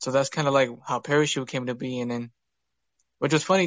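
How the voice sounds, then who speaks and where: In an American accent, a man speaks in an unremarkable speaking voice with a fairly high pitch and fairly even intonation, the sound dry and close with no echo over a quiet background. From Utah. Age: young. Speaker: music producer. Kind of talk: casual chat.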